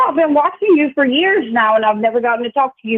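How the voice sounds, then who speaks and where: A woman's high-pitched voice with a Louisiana accent and lively intonation. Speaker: caller, longtime viewer. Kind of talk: phone-in thanks.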